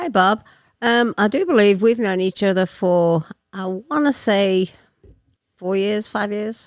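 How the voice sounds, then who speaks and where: On a very clean recording with a silent background, the speech moves at a fairly slow pace with long, frequent pauses and ordinary pitch variation. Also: woman, medium pitch for a woman. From England. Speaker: guest in recovery. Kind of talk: personal testimony.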